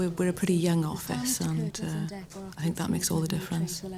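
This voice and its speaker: A woman with a Welsh accent talks at a fairly quick pace, her fairly low pitch showing ordinary variation, with noticeable background noise. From south Wales, West Glamorgan. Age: 20s. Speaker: talent show contestant. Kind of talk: profile interview.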